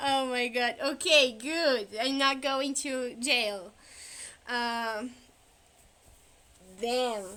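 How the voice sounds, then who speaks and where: Speaking very slowly with long, frequent pauses, a woman with a non-native accent has a high pitch, a bright, sharp tone and ordinary pitch variation. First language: not English. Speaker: streamer. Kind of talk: casual chat. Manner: halting.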